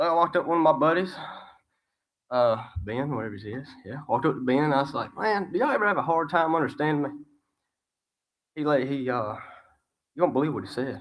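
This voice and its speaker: A man with a strong Southern US accent talks very fast in a fairly high voice, his intonation lively and broken by long, frequent pauses. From Alabama, US South. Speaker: student graduate. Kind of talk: graduation speech.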